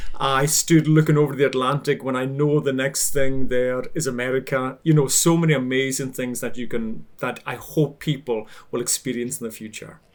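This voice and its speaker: With a Hebridean Scottish accent, a man talks at a moderate pace and medium pitch, his intonation fairly even. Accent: Hebridean Scottish, Highland lilt. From Scotland, Outer Hebrides (Isle of Lewis). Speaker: baker and social media cook. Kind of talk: casual interview chat.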